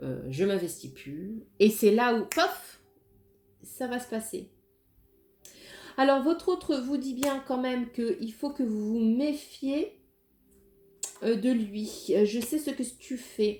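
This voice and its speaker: Over music in the background, a woman speaks at a high pitch and a very slow pace, with lively intonation and long, frequent pauses. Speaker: tarot card reader. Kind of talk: tarot reading. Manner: hesitant, many fillers.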